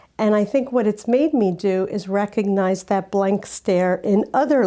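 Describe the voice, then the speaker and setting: A woman with a dark, mellow tone speaks at a moderate pace on a very clean recording with a silent background. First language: Spanish. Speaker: judge. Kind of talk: interview.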